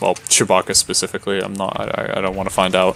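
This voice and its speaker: A man's very deep, low voice, monotone and flat, at a very fast pace. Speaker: video game streamer. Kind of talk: live gameplay commentary.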